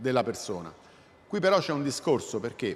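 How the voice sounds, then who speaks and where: This man's fairly high voice, with vocal fry, leaps very widely up and down in pitch. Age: 60s. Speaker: robotics professor. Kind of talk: public lecture. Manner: halting, with self-corrections.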